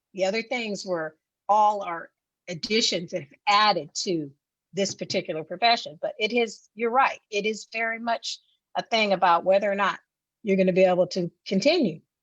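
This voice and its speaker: A plain, everyday voice at a moderate pace, with ordinary pitch variation. The sound is dry and close, with no echo. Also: woman, medium pitch for a woman. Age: 50s. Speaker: mental health professional. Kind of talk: casual chat.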